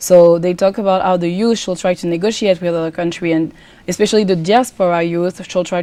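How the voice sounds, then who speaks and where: With a French accent, a woman speaks at a fairly quick pace, her pitch fairly low and her intonation fairly even. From France. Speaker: pageant contestant and student. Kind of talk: TV interview.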